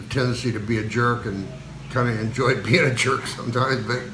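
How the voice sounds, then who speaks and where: This man talks very fast in an American accent, at a medium pitch, with a monotone, flat delivery. Audible room echo and noticeable background noise fill the recording. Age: 70s. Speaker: video blogger. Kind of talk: casual chat. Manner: halting.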